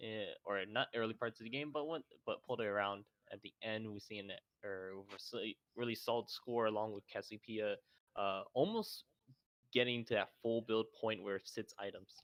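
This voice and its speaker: The sound is dry and close, with no echo. A man of medium pitch talks at a moderate pace with fairly even intonation. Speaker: esports commentator. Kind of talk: esports analysis chat.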